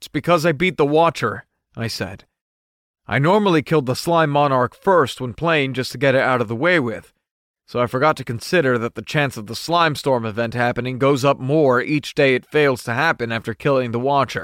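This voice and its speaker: In a plain, everyday voice, a man talks at a fairly quick pace and medium pitch with ordinary pitch variation. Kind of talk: audiobook-style first-person narration of a fiction serial. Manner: narrative, expressive, with in-character lines and stumbling panic.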